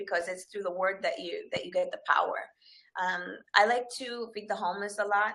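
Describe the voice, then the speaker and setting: A woman with a bright, sharp tone speaks at a fairly quick pace in a medium pitch. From Dominican Republic, then northern British Columbia, Canada. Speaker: fitness trainer. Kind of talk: interview.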